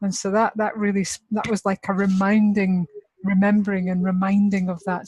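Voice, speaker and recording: A somewhat breathy woman at medium pitch, with fairly even intonation, in a dry, close sound with no echo. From Scotland. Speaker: workshop participant. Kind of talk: group feedback sharing.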